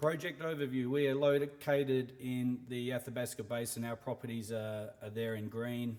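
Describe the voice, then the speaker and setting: A man with an Australian accent at a moderate pace, with fairly even intonation and hardly any pauses. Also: medium pitch for a man. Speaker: mining company CEO. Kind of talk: investor presentation. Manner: hesitant, many fillers.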